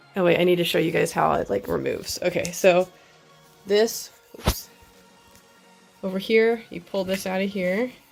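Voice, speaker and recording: A woman's speech with long, frequent pauses over music in the background. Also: moderate pace. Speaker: cosplayer. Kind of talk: casual tutorial talk to camera. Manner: casual, hesitant with many fillers.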